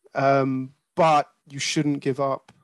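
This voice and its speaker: A man with a southern English accent speaks with fairly even intonation. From England (Croydon). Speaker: regional marketing director. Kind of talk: interview.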